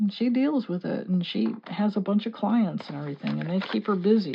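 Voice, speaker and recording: A woman with a slight Texan accent and very wide pitch swings. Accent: slight Texan creeping in. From US Midwest, Chicago area. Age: 60s. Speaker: mixed media artist and card reader. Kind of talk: casual chat during art tutorial.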